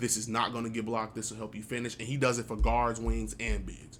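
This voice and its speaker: Talking at a very fast pace in an American accent, a man has a medium pitch, vocal fry and monotone, flat intonation, with audible room echo. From Chicago. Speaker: gaming YouTuber. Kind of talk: casual gameplay commentary.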